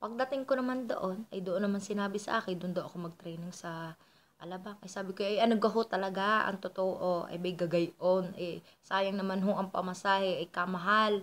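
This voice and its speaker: A woman speaks at medium pitch and a moderate pace with a Batangas accent. Her intonation is fairly even, and she takes hardly any pauses. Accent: Batangueño Tagalog. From Philippines, Batangas. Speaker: vlogger. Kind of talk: casual storytelling. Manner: sounds angry by default.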